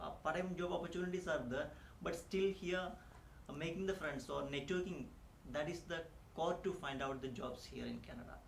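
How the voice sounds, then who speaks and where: Over noticeable background noise and audible room echo, a man speaks at a moderate pace with ordinary pitch variation. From India. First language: not English (Indian language). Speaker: immigrant teacher. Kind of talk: interview. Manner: halting, many fillers.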